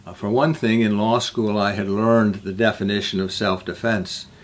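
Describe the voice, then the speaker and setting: With a Midwestern American accent, a man speaks at a fairly low pitch with fairly even intonation. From US Midwest, northern Illinois. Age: 80s+. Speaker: peace activist, refuge founder. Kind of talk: personal life story talk. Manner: halting.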